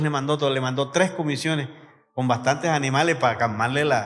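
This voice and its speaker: There is music in the background and audible room echo. A man speaks with a fairly high pitch. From Colombian Caribbean coast (Sucre, San Andrés de Sotavento). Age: 60s. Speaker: pastor. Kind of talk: sermon.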